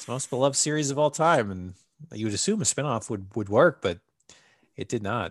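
Against a quiet background, a man in an ordinary speaking voice at medium pitch talks at a fairly quick pace with lively intonation, the sound dry and close with no echo. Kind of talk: pitchman patter. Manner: hawking like a carnival barker, wheedling and coaxing.

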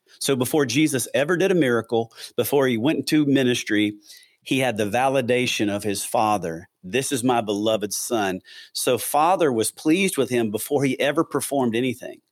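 A man with a Southern US accent speaks at a fairly quick pace with lively intonation. The recording is very clean with a silent background. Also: medium pitch for a man, very even loudness. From US South, Atlanta, Georgia. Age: 50s. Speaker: pastor. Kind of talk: casual interview.

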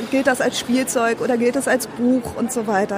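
A woman with a fairly high pitch and monotone, flat intonation over noticeable background noise. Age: 30s. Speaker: entrepreneur. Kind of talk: interview. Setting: trade fair booth.

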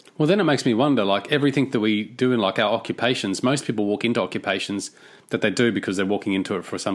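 With an Australian accent, a man talks very fast at a fairly low pitch with ordinary pitch variation, on a very clean recording with a silent background. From Australia (Cairns, Queensland). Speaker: podcast host. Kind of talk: interview.

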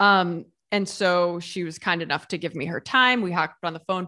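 Against a quiet background, a woman with a Midwestern American accent talks at a fairly quick pace in a bright, sharp tone. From small-town Ohio, US Midwest. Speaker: YouTuber and food writer. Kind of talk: casual interview chat.

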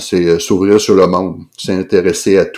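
A man speaks in a Quebec accent with a very deep, low pitch and flat, monotone intonation. His pace is fairly slow, and the recording is very clean with a silent background. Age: 60s. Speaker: anesthesiologist and novelist. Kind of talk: interview conversation. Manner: halting, many repetitions and fillers.

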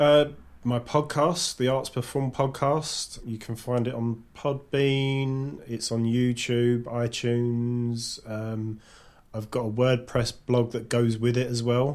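Speaking in a Cockney accent, a man talks at a very slow pace with medium pitch and fairly even intonation. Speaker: podcaster. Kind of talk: casual chat. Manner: talkative, rambling.

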